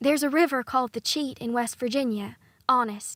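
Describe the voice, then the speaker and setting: A woman puts on a character voice, pitched high and moving at a fairly quick pace with fairly even intonation. The recording is very clean with a silent background, and the sound is dry and close with no echo. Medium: read story. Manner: timid, soft.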